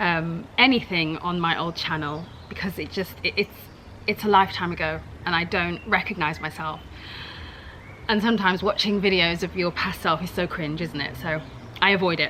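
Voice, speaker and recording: A woman talks with a southern English accent. Her pitch is fairly low, with ordinary pitch variation. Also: moderate pace. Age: 30s. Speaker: YouTuber. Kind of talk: casual reaction vlog. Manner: animated.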